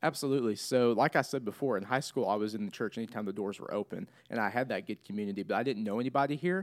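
Talking at a very fast pace, a man with an American accent keeps a medium pitch and ordinary pitch variation. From Missouri. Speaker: church intern. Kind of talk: casual chat.

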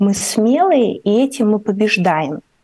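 The woman's voice sits at a medium pitch and carries a dark, mellow tone. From Ukraine. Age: 30s. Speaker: artist and writer. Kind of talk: radio interview. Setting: remote call into radio studio.

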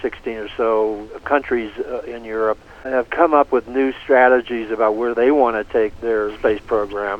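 A man at a medium pitch, fairly even intonation and a moderate pace, with noticeable background noise. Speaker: space journalist and author. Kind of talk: casual interview.

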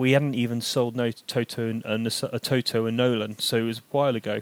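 Dry and close with no echo, a man with a plain, everyday voice and medium pitch talks at a fairly quick pace. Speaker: football podcast host. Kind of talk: casual chat.

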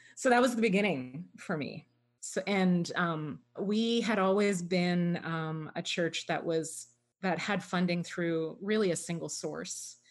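This woman has a normal speaking voice with a Canadian accent and a fairly low pitch. She talks at a fairly slow pace with ordinary pitch variation. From Canada, Toronto. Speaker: pastor. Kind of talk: interview.

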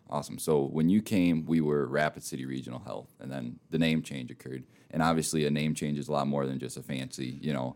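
A very fast, hardly pausing man with an American accent, a very deep, low pitch, and fairly even intonation. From Minnesota. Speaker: podcast host. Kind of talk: casual interview.

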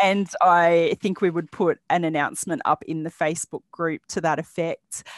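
A woman with an Australian accent and a fairly low pitch, with fairly even intonation and hardly any pauses, in a dry, close sound with no echo and a quiet background. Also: moderate pace. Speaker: bag pattern designer and small business owner. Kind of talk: interview. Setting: remote call from Australia.

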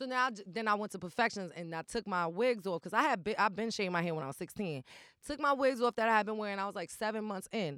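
Someone with a New York accent speaks very fast in an animated tone with lively intonation. The recording is very clean with a silent background. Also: woman, medium pitch for a woman. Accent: New York Bronx. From New York, the Bronx. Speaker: rapper and former stripper. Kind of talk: casual interview chat.

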